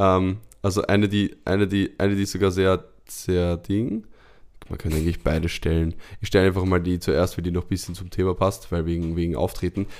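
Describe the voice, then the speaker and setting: Speaking at a fairly quick pace, a man with a very deep, low voice keeps a monotone, flat intonation on a very clean recording with a silent background. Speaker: podcast co-host and performer. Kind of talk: casual chat.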